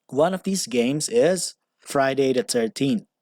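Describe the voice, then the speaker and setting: In a very clean recording with a silent background and a dry, close sound with no echo, a man with a non-native accent speaks at a fairly high pitch and a fairly slow pace. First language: not English. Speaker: commentary YouTuber. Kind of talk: opinion commentary narration.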